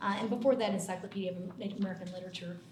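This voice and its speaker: Very fast speech comes from a woman at medium pitch, with audible room echo and noticeable background noise. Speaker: English professor. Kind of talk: panel self-introduction. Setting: university room with audience and mics. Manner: loud; talkative.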